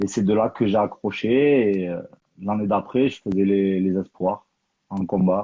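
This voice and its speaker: At a fairly slow pace, a man talks in a normal speaking voice. His pitch is fairly low and his intonation fairly even. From Toulouse, southern France. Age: 30s. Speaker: professional boxer and coach. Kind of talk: interview.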